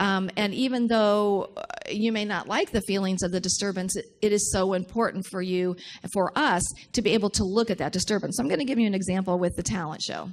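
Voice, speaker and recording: A woman's ordinary speaking voice, medium in pitch with ordinary pitch variation, at a fairly quick pace on a very clean recording with a silent background. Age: 60s. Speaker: minister. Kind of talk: sermon.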